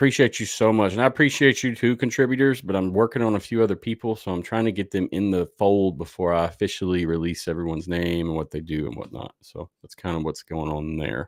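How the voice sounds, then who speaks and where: Speaking at a fairly quick pace, a man uses a very deep, low pitch and a Southern US accent. The sound is dry and close, with no echo. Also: very clean recording, silent background. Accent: Southern twang. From US South. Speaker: sports podcast host. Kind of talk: live show outro. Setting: livestream. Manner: casual, conversational.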